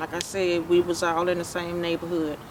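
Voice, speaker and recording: Over noticeable background noise, a woman talks at a fairly quick pace with a medium pitch. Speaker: survivor telling her story. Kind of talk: testimony.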